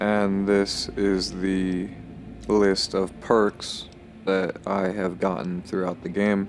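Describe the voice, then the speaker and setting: Against noticeable background noise, a man with a fairly low voice speaks very slowly in a monotone, flat intonation. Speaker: gaming youtuber. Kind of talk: video game commentary. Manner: slurred words; casual, filler-heavy.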